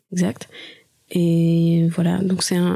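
In a fairly low pitch, a woman speaks with a dark, mellow tone. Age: 30s. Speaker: musician. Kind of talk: interview.

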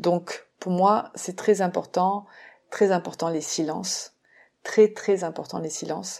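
A woman with a medium pitch speaks at a very slow pace with fairly even intonation and big swings in loudness, on a very clean recording with a silent background. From France. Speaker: theatre teacher and podcast producer. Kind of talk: solo podcast monologue. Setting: solo at a microphone. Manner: hesitant, many fillers.

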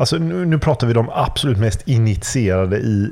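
A man with a normal speaking voice, fairly low pitch and lively intonation. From Sweden, Gothenburg. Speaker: podcast host. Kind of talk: casual chat. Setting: remote recording.

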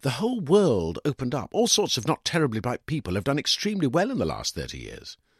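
A man talks at a fairly quick pace with very wide pitch swings and a slightly husky edge. The recording is very clean and dry, with a close sound, no echo and a silent background.

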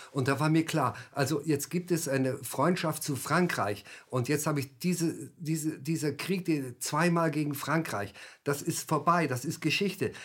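Somewhat breathy, a man with a fairly high pitch and ordinary pitch variation speaks at a moderate pace in a very clean recording with a silent background. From Germany. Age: 70s. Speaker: author and former army officer. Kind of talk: interview. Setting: studio. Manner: halting.

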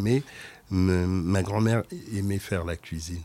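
A man speaks at a very slow pace in a dark, mellow tone, with ordinary pitch variation. The recording is very clean, with a silent background. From Senegalese and Cameroonian family. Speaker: food expert. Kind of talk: interview.

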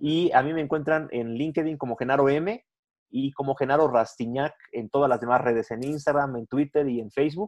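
With an ordinary speaking voice, a man talks at a moderate pace in a fairly high pitch with ordinary pitch variation, the sound dry and close with no echo. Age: 40s. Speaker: business journalist and entrepreneur. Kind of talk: interview.

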